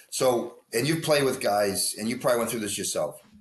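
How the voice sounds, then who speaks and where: An ordinary speaking voice with lively intonation. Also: man. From US Northeast. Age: 60s. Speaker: hockey coach. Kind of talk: interview.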